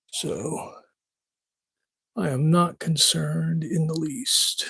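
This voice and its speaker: Mumbling, a man talks at a very slow pace. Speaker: woodworker. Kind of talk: live stream.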